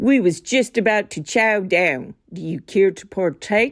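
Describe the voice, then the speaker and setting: A woman's put-on character voice at a medium pitch and fairly slow pace, on a very clean recording with a silent background. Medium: read story. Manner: cheeky, ungrammatical.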